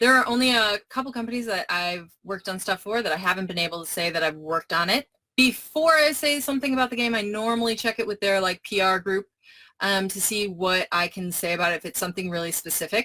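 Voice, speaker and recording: A woman at medium pitch talks at a very fast pace with lively intonation and a bright, sharp tone. The sound is dry and close, with no echo. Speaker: game inventor. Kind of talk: live Q&A session.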